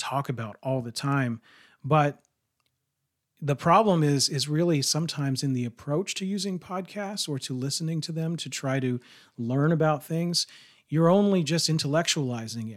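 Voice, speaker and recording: A man speaks at a moderate pace in a plain, everyday voice with ordinary pitch variation, on a very clean recording with a silent background. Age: 40s. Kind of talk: casual religious discussion.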